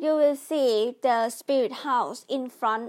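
Very slowly and at a high pitch, a woman with a Thai accent speaks with ordinary pitch variation. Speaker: podcast host. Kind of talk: casual explainer monologue. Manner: halting.

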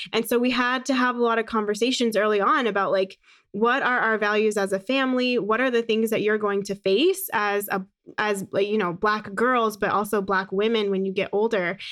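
With an American accent and a plain, everyday voice, a woman speaks fairly quickly at a fairly high pitch, keeping fairly even intonation and very even loudness. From US, Phoenix Arizona. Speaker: podcaster and speaker on inclusion. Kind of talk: casual interview chat.

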